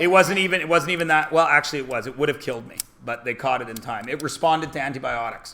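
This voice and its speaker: Over noticeable background noise, a man with a Canadian accent talks at a very fast pace in an animated tone, with fairly high pitch, ordinary pitch variation and big swings in loudness. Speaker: math teacher. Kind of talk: classroom talk. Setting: classroom.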